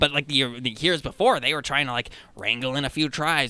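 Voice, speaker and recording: On a very clean recording with a silent background, a man uses a put-on character voice, fairly high in pitch, at a moderate pace. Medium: actual play. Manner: rambling, excitable.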